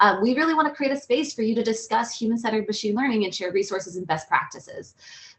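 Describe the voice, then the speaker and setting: A woman talks at a very fast pace with lively intonation. Her voice is fairly high-pitched and somewhat breathy. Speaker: meetup organizer. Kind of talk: event introduction presentation. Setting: video call.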